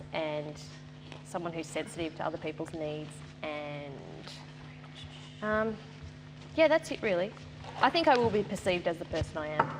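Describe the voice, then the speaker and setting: Music plays behind a woman with an Australian accent and a fairly low pitch. She talks at a fairly quick pace. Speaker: reality show contestant. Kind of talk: group discussion. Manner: monotone.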